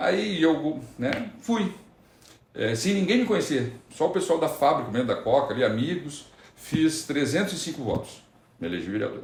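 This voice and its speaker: Speaking at a moderate pace in a room with audible echo, a man uses a fairly high pitch with very wide swings and some vocal fry. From Rio Grande do Sul, Brazil (Candiota). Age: 40s. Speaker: city councillor. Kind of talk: interview, casual chat. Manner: halting, with false starts.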